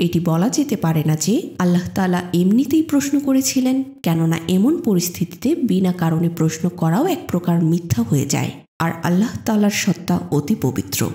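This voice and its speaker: A woman speaks in a calm, soothing tone, somewhat breathy, at a fairly low pitch. Her pitch swings very widely while her loudness stays very even. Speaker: audiobook narrator. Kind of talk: reading aloud.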